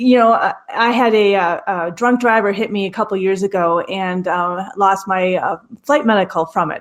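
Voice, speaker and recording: A woman with an American accent talks at a moderate pace and medium pitch. It is a plain, everyday voice. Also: ordinary pitch variation. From Minnesota. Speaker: airline pilot and aviation professor. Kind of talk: podcast interview.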